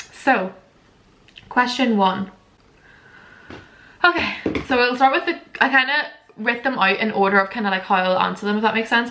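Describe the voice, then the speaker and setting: The speaker has a Northern Irish accent, with noticeable background noise behind the voice. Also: woman. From Northern Ireland, border area. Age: 20s. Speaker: lifestyle vlogger. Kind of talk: casual chat. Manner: fast; animated.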